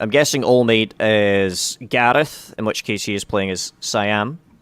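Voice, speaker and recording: This man has a normal speaking voice. He talks at a fairly slow pace with a fairly low pitch. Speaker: multiplayer strategy game player. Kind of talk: informal, profane. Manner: casual, rambling, swears freely.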